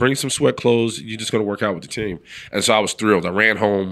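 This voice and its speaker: A man talks very fast in a New York accent. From New York City (the Bronx). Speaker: former football player and sports broadcaster. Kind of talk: casual interview chat.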